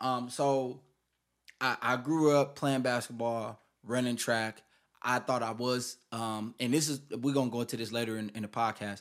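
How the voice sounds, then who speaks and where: In a very clean recording with a silent background, a man speaks at a moderate pace in a medium pitch with monotone, flat intonation. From Milwaukee, Wisconsin. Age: 20s. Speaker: YouTuber. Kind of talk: casual chat.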